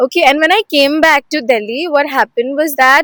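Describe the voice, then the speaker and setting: A woman's high, raised, projected voice with a bright, sharp tone, fairly quick pace, and dry, close sound with no echo. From Assam, India. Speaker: student. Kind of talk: interview testimony.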